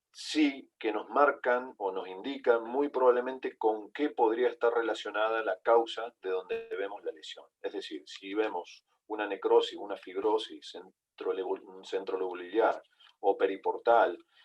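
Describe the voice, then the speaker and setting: Loudness swings widely as a man talks at a fairly slow pace. Music plays in the background. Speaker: veterinary pathology lecturer. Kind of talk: online lecture. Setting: online video call. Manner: halting, with fillers and repetitions.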